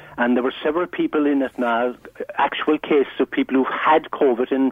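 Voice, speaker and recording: Talking at a very fast pace, a man with an Irish accent has a fairly high pitch and fairly even intonation. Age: 70s. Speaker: caller. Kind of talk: phone-in discussion. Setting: phone call.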